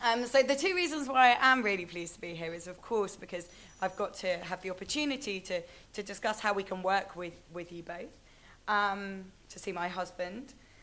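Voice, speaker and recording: A woman speaks fairly quickly at a medium pitch, with a bright, sharp tone. Her pitch varies in an ordinary way while her loudness swings widely. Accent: British. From Britain. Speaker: conference speaker. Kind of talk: presentation. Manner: hesitant, frequent fillers.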